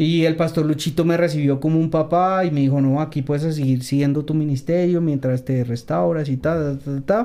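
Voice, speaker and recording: A man with a dark, mellow tone and a fairly high pitch speaks at a moderate pace, with fairly even intonation and hardly any pauses. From Colombia, Bogotá. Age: 30s. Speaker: rapper. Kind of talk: testimony.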